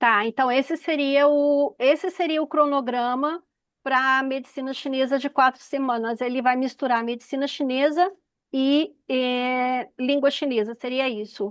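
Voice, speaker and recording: High-pitched woman's voice at a fairly slow pace, fairly even intonation, quiet background. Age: 50s. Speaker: audience member asking questions, Chinese medicine teacher. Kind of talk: Q&A at an online information session.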